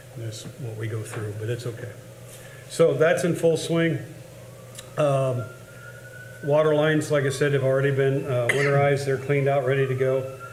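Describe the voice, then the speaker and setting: A man with a Midwestern US accent speaks at a fairly high pitch with fairly even intonation, leaving long, frequent pauses, with noticeable background noise and audible room echo. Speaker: cemetery superintendent. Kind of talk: public meeting report. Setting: board meeting. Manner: fast.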